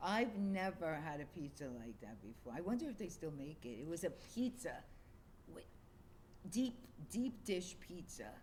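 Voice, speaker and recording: A woman with an American accent speaks at a fairly low pitch with vocal fry, very wide pitch swings and big swings in loudness. Long, frequent pauses break her speech, and audible room echo surrounds it. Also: moderate pace. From New York City, Queens. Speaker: streamer's mother. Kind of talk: casual chat.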